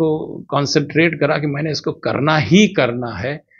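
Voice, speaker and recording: Pitch moves an ordinary amount in this somewhat breathy voice. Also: man. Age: 60s. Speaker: doctor and marathon runner. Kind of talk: interview.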